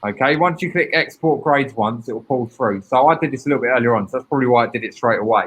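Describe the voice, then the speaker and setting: This man has a British accent and a medium pitch. His pitch varies in an ordinary way. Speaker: teacher presenting a training session. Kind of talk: online training webinar. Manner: fast.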